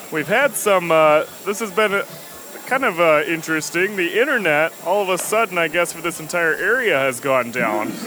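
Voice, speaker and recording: Against noticeable background noise, a man with a high pitch speaks at a moderate pace with very wide pitch swings. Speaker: color commentator. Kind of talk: live commentary.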